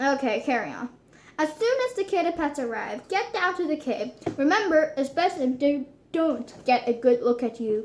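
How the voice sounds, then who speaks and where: A woman puts on a character voice, pitched high and delivered at a medium speed. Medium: read story. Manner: firm, terse.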